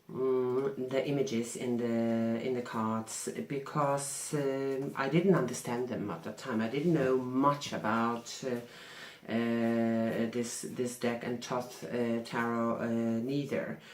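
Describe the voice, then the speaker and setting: With a non-native accent, a woman speaks at a very slow pace with a very deep, low pitch, fairly even intonation and hardly any pauses, amid audible room echo and noticeable background noise. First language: not English. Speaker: tarot reader. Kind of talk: vlog answering questions. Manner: halting.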